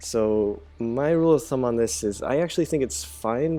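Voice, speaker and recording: Music plays in the background. A man speaks at a moderate pace with very wide pitch swings. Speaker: gamer, gameplay commentator. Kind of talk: gameplay commentary. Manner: casual, hesitant with many fillers.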